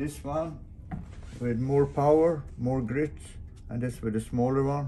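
The voice has a dark, mellow tone and a fairly slow pace, with light background noise behind it. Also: man, medium pitch for a man, fairly even intonation. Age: 80s+. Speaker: solo sailor and boat builder. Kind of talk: casual video diary. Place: workshop. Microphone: phone near.

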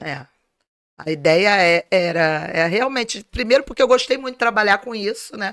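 A woman speaks at a moderate pace with lively intonation and big swings in loudness against a quiet background. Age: 50s. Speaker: entrepreneur, organizer of a family fair; guest. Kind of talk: interview. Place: home room. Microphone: studio mic.

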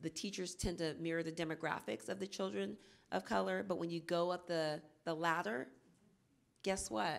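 Speaking at a moderate pace with an American accent, a woman uses a fairly low pitch, lively intonation and vocal fry. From Oakland, California; California. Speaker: early childhood planning coordinator; panelist, teacher advocate. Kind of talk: panel discussion. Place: hall. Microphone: handheld.

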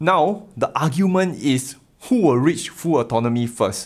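A man talks fairly slowly and with lively intonation, the background quiet. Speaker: tech video host. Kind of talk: commentary. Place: home room.

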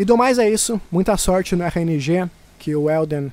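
A man speaks with a Brazilian accent and ordinary pitch variation. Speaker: gaming YouTuber. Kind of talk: gameplay commentary narration. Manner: casual, conversational.

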